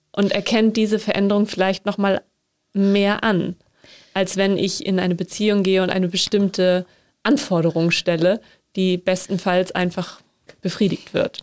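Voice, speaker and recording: At a moderate pace broken by long, frequent pauses, the voice holds a monotone, flat intonation and very even loudness in a dry, close sound with no echo. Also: woman, medium pitch for a woman. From northern Germany. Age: 30s. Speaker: podcast host, theology trainee. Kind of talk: interview.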